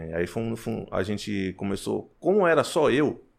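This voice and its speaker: A man with a fairly low pitch. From Paraná, Brazil (Cianorte). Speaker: rapper and clothing entrepreneur. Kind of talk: casual interview. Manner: casual slang-heavy.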